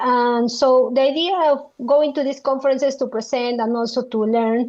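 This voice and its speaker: A woman's high-pitched voice with a strong Spanish accent, fairly even intonation and a moderate pace. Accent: thick Spanish. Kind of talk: interview. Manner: halting, many fillers.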